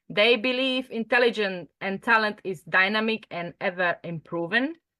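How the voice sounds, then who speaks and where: In a Slovak accent, a woman speaks with lively intonation and a bright, sharp tone at a fairly high pitch, the sound dry and close with no echo. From Slovakia. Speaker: mindset coach. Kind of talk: online group training session. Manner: hesitant, filler-heavy.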